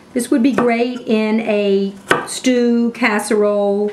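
Noticeable noise fills the background. Over it, a woman talks. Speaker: cooking instructor. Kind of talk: tutorial. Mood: warm, enthusiastic. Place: kitchen.

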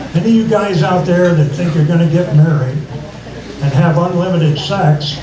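A man talks at a moderate pace in a fairly high voice. Audible room echo and noticeable background noise surround him. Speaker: stand-up comedian. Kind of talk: stand-up comedy set. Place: stage.

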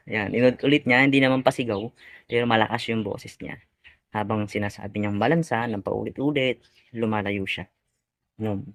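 At a fairly quick pace, a man speaks with a medium pitch and fairly even intonation. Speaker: YouTuber and live tilapia vendor. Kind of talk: vlog storytelling. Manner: halting, many fillers.

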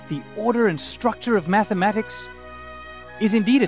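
A man with a South African accent speaks in a dry sound with no echo, with clear music in the background. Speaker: math teacher. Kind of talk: teacher introduction to camera. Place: street.

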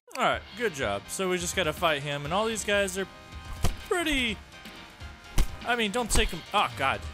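A man's high, raised and projected voice at a moderate pace, with lively intonation, long and frequent pauses, and music in the background. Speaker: gaming YouTuber. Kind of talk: casual gameplay commentary.

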